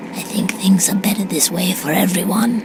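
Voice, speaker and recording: A put-on character voice is heard over loud background noise. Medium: game stream. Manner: gentle, soft-spoken.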